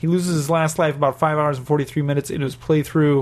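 Speaking very fast, a man with a fairly high pitch sounds somewhat breathy. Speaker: podcast host. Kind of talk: casual banter. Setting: in Japan. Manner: jokey, chatty.

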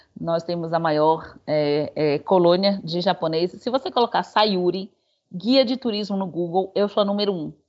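The woman has a normal speaking voice at medium pitch. She keeps a moderate pace with ordinary pitch variation. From Salvador, Bahia, Brazil. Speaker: tour guide. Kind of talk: interview conversation.

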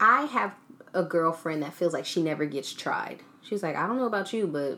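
A woman's fairly low voice at a moderate pace, with very wide pitch swings and noticeable background noise. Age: 20s. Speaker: podcast host. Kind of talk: casual interview chat.

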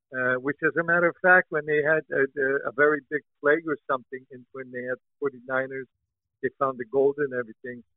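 A man with an American accent speaks at a fairly quick pace in a plain, everyday voice, his pitch fairly high and his loudness swinging widely. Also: fairly even intonation. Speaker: podcast co-host, song translator. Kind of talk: casual chat. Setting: online remote call.

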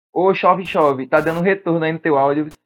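A plain, everyday voice from a man, fairly high-pitched, with fairly even intonation at a moderate pace. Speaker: podcast host. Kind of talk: casual chat.

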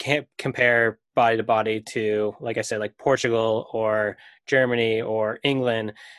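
A man with an American accent speaks in a plain, everyday voice at a fairly slow pace, his medium pitch carrying fairly even intonation over a quiet background, with a dry, close sound and no echo. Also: big swings in loudness. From US Northeast (Maine). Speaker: soccer podcast host. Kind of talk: casual chat.

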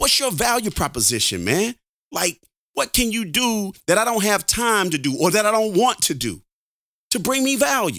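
On a very clean recording with a silent background, a man uses a raised, projected voice that is high in pitch, with an animated, bright, sharp tone. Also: lively intonation, moderate pace. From Alabama. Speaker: podcast host. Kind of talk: casual chat.

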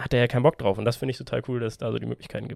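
The man's voice sits at a medium pitch, recorded with a dry, close sound and no echo. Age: 20s. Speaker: podcast co-host and youth tennis coach. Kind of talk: casual chat. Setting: small room.

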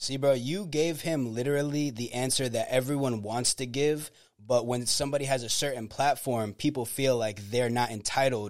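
Heard on a very clean recording with a silent background, a normal speaking voice with an American accent moves at a moderate pace with ordinary pitch variation. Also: man. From Florida, Tampa Bay area (Clearwater). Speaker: rapper and songwriter. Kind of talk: casual chat.

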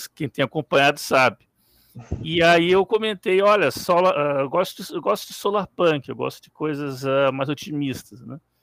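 A man with an unremarkable speaking voice and a fairly high pitch talks at a moderate pace with lively intonation and big swings in loudness, in a dry, close sound with no echo. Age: 40s. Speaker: IT professional and fiction writer. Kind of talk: live stream interview.

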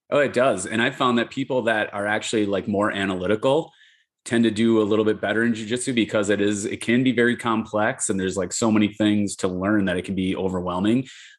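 A man's fairly low voice, very fast pace and fairly even intonation against a quiet background. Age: 40s. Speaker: jiu-jitsu instructor and retired police officer. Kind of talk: casual interview.

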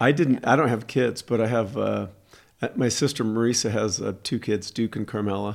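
A man with a medium pitch and fairly even intonation speaks in an ordinary speaking voice. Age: 60s. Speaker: podcast host. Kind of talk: casual chat.

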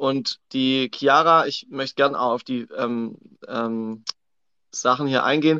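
A man's bright, sharp voice at medium pitch and a very slow pace, with fairly even intonation, a dry, close sound with no echo, and a quiet background. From Swabia, southern Germany. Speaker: coach. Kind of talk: casual chat. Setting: livestream on social media.

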